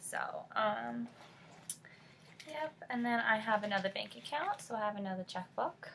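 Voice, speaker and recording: With an American accent, a woman talks at a moderate pace with long, frequent pauses against noticeable background noise. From California. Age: 20s. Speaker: beauty and lifestyle vlogger. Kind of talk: casual chat.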